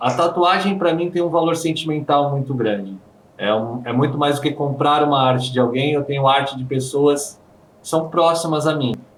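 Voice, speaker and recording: Someone with a Brazilian accent speaks in a space with audible room echo. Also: man, fairly high pitch for a man, ordinary pitch variation, moderate pace. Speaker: handpoke tattoo artist. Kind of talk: interview.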